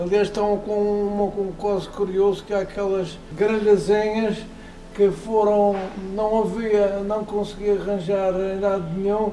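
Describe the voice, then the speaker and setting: A man's high-pitched, flat, monotone delivery at a fairly slow pace, with noticeable background noise and audible room echo. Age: 70s. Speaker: classic car collector. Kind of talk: casual interview. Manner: halting, with repetitions and fillers.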